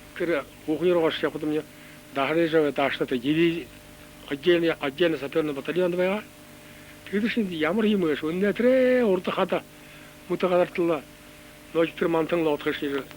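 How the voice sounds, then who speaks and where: A man with a high pitch for a man and ordinary pitch variation talks at a fairly quick pace, broken by long, frequent pauses. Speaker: war veteran. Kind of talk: reminiscence.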